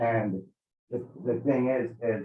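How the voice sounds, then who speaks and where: This man's voice sits at a medium pitch. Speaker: citizen appealing a trespass order. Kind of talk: public hearing appeal. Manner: loud; animated.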